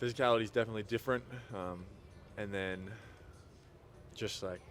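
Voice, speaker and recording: A man's fairly low voice with an American accent, fairly even intonation and a very fast pace. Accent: Australian, feels it fading in the US. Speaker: basketball player. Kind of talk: interview. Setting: at a sports event. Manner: hesitant, many fillers.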